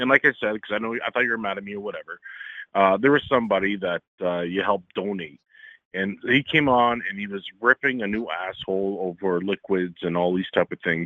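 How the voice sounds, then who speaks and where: A man with an American accent, fairly low in pitch, at a fairly quick pace with ordinary pitch variation. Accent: Canadian, slight Midwestern sound. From Ontario, Canada, near Detroit. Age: 40s. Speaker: caller. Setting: phone call.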